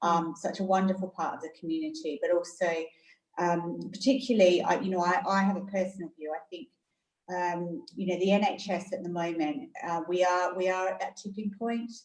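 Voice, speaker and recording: A woman speaks with an Australian accent at a medium pitch. Her pace is fairly quick. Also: ordinary pitch variation. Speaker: hospital chief executive. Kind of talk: interview. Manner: hesitant, many fillers.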